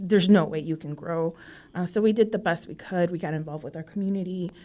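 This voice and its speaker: Talking at a very fast pace, a woman with a fairly low pitch and dark, mellow tone keeps a fairly even intonation while her loudness swings widely. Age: 30s. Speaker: small business owner. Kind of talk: interview. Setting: studio.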